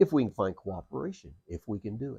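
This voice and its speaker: Somewhat breathy and fairly low in pitch, a man speaks at a moderate pace in a dark, mellow tone, with a dry, close sound and no echo. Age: 60s. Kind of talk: casual monologue vlog. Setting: outdoors on a porch. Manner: hesitant, many fillers.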